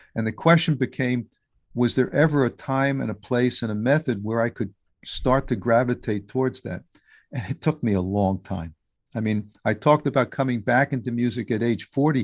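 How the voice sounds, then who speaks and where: A man at a medium pitch with an American accent, a normal speaking voice, moderate pace and ordinary pitch variation, over a quiet background. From US Northeast, New York City. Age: 60s. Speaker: musician and podcaster. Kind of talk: interview.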